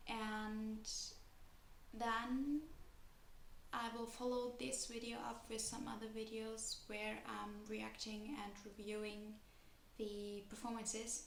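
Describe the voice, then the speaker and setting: With a non-native accent, a woman speaks at a very slow pace in a fairly high, monotone voice with flat intonation and long, frequent pauses, amid noticeable background noise and audible room echo. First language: not English. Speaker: kpop youtuber and dancer. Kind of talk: casual vlog commentary.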